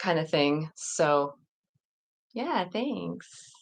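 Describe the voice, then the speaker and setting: A woman with an American accent talks very slowly against a quiet background. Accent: northern US, Southern accent comes and goes. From northern US and US South. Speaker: livestream host. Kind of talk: casual chat. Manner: chatty, halting with fillers.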